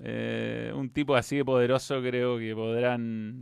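A man's medium-pitched voice, very slow and monotone, with flat intonation. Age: 40s. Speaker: football commentator. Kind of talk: casual chat. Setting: home studio.

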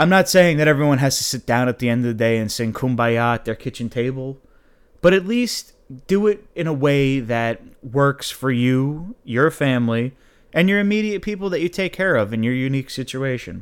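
In an ordinary speaking voice, a man talks at medium pitch and a moderate pace with lively intonation, in a very clean recording with a silent background. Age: 20s. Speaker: podcast host. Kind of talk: solo monologue podcast. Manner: casual, conversational.

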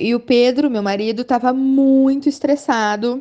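The woman speaks at a fairly slow pace in a dark, mellow tone. The background is quiet. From Brazil, Rio de Janeiro. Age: 30s. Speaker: teacher and sociologist. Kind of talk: interview. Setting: WhatsApp call.

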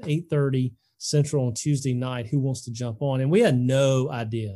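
With an Alabama accent, a man talks at a medium pitch and fairly even intonation. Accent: Southern US (Alabama). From Alabama, US South. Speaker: sports ministry leader and podcast host. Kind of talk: casual interview.

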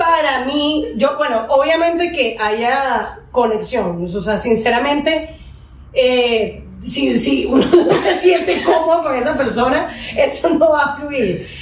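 A woman's high-pitched voice with lively intonation at a very slow pace, amid noticeable background noise and audible room echo. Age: 30s. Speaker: dentist and singer. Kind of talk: casual chat.

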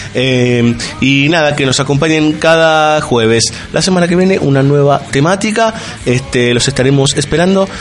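At a moderate pace and fairly high pitch, a man speaks with ordinary pitch variation and very even loudness over noticeable background noise. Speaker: radio host. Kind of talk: casual chat.

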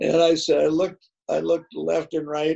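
With an Upper Midwest accent, a man talks at a moderate pace. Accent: Upper Midwest (Minnesota). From Minnesota, north of Minneapolis. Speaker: retired high school football coach. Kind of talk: interview. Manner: halting, many fillers.

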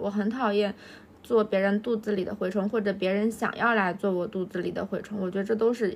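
The woman's intonation stays monotone and flat. She moves along at a fairly quick pace. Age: 30s. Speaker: podcast co-host. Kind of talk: casual chat.

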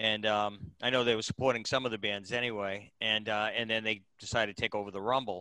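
Bright and sharp in tone, the voice comes in a Boston accent with monotone, flat intonation and hardly any pauses, on a very clean recording with a silent background. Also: man, fairly low pitch for a man, fairly quick pace. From Boston, Massachusetts. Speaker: podcast host. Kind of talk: casual interview.

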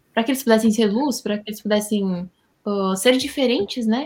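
This woman has a normal speaking voice. Her pitch sits fairly high, with ordinary variation. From Rio Grande do Sul, Brazil. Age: 20s. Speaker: Bible study guest. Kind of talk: Bible study discussion.

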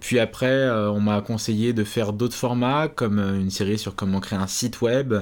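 In an unremarkable speaking voice, a man talks at a fairly slow pace with fairly low pitch and fairly even intonation. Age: 20s. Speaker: YouTube programming educator. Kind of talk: interview.

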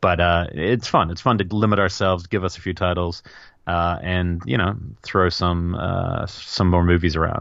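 A man's very deep, low voice in a New Zealand accent, with fairly even intonation. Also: moderate pace. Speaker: film podcast co-host. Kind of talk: casual chat.

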